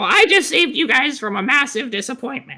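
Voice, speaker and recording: In a put-on character voice, a man speaks at an extremely high pitch. His pace is very fast. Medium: actual play. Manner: condescending, mocking.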